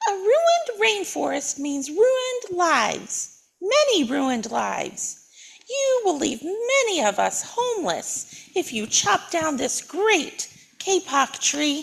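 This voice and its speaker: In a put-on character voice, a woman squeaks at an extremely high pitch with very wide pitch swings and a fairly slow pace. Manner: piping, pleading.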